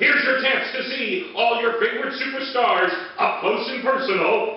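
Strong room echo surrounds a man's voice. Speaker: sports announcer and voice over artist. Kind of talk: live event radio commercial read. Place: studio.

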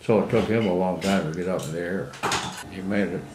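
A man with a Midwestern American accent speaks at a very deep, low pitch. Background noise is noticeable. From Iowa, USA. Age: 80s+. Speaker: WWII Navy veteran. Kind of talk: interview answer.

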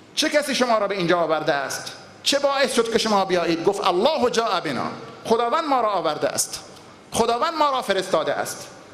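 Over audible room echo, a man talks at a fairly quick pace with very wide pitch swings. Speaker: preacher. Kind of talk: sermon. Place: church. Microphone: podium.

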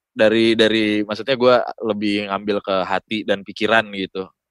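Fairly quick and fairly low-pitched, a man speaks in a dry, close sound with no echo on a very clean recording with a silent background. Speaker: voice-over talent. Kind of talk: casual chat. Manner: animated.

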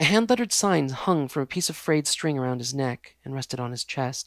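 The reading is done aloud in a natural voice, its intonation lively.

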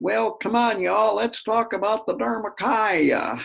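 Someone performs a put-on character voice in a rural American accent, raspy and fairly high, at a moderate pace. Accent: folksy American, hillbilly-like. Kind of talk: folksy, casual.

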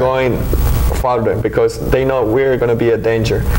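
Noticeable background noise behind a fairly quick pace of speech. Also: man. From Mexico, Oaxaca. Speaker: immigrant rights activist. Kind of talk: casual discussion. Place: studio. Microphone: studio mic.

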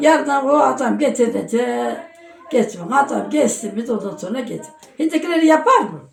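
Amid noticeable background noise and audible room echo, a woman talks at a high pitch with lively intonation. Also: moderate pace. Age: 80s+. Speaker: elderly villager. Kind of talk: casual interview chat.

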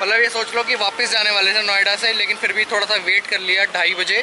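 A man's raised, projected voice at a fairly quick pace, monotone and flat in intonation, with noticeable background noise. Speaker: motovlogger. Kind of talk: casual vlog chat. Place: street. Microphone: phone near.

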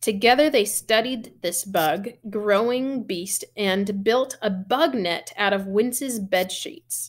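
A woman speaks at a slow pace with few pauses. Her pitch is medium, with ordinary pitch variation.

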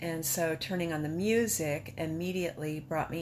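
Over light background noise, a woman talks in a very deep, low voice with ordinary pitch variation. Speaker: patient sharing illness journey. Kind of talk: personal testimony. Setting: self-recorded video. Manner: casual, candid. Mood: reflective, emotional, hopeful. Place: home room. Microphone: phone near.

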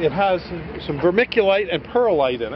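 Over noticeable background noise, a man talks with a high pitch. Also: dry sound with no echo. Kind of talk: tutorial. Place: farm machine. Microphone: phone near.

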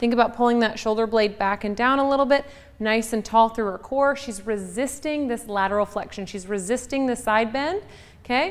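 Using ordinary pitch variation, a woman talks at a fairly quick pace. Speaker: fitness coach. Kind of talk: tutorial. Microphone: lapel.

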